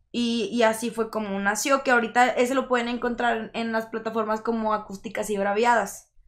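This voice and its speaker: Against a quiet background, a woman talks at a fairly quick pace with hardly any pauses, her intonation monotone and flat. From Monterrey, Nuevo León, Mexico. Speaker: singer-songwriter and rapper; guest. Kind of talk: casual interview chat. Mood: relaxed, friendly. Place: studio. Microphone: studio mic.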